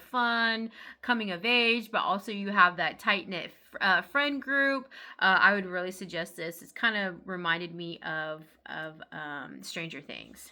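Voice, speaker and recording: Bright, sharp tone from a woman of medium pitch with ordinary pitch variation, in a very clean recording with a silent background. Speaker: book reviewer. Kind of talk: casual chat. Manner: fast; hesitant with fillers.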